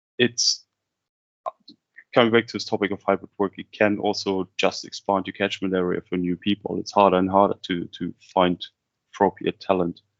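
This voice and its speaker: Someone speaks in a German accent at a moderate pace, with long, frequent pauses. The intonation stays monotone and flat. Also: man, fairly low pitch for a man. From Kazakhstan-born, German-speaking upbringing. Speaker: business development head, webinar host. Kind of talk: webinar presentation. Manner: conversational, some repeated words.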